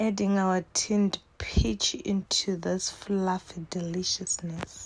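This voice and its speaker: At a very slow pace, a woman speaks with a Zimbabwean accent. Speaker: cooking vlogger. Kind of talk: casual cooking tutorial. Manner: chatty, animated.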